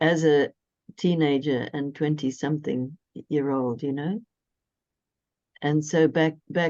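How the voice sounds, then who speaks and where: With a very deep, low pitch and a dark, mellow tone, a woman talks at a fairly slow pace with fairly even intonation. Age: 70s. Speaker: astrologer. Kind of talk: casual conversation.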